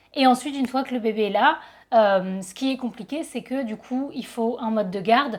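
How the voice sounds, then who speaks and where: Speaking at a fairly quick pace, a woman with a plain, everyday voice uses a fairly high pitch and ordinary pitch variation in a very clean recording with a silent background. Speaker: photographer and YouTuber. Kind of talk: casual vlog talk.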